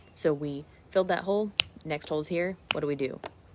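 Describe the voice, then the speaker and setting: A woman's very deep, low pitch with ordinary pitch variation. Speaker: nutrition coach. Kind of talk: live stream talk. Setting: outdoors in parents' backyard. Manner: fast; animated.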